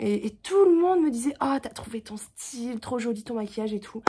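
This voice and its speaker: A woman's somewhat breathy voice at a moderate pace, in a very clean recording with a silent background. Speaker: vlogger. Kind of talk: casual vlog talk. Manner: halting, many fillers.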